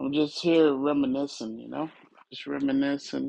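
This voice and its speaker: A man speaks in a relaxed tone. His pitch is fairly high. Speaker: musician. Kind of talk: casual chat.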